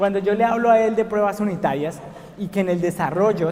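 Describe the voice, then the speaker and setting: A man with a Colombian accent speaks at a fairly quick pace with ordinary pitch variation, over noticeable background noise. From Colombia, Bogotá. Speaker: software engineer, conference speaker. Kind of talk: conference talk. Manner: frequent filler words (eh, pues).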